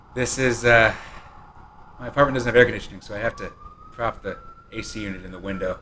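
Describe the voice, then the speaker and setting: A man talking at a very fast pace, with long, frequent pauses, big swings in loudness and noticeable background noise. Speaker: game developer. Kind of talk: live-streamed presentation. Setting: live stream from his apartment.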